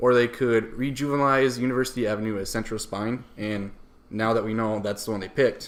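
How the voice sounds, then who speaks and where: A man talks at a fairly quick pace with a strong northern US accent. His medium pitch carries fairly even intonation. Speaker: podcast co-host. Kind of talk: casual chat.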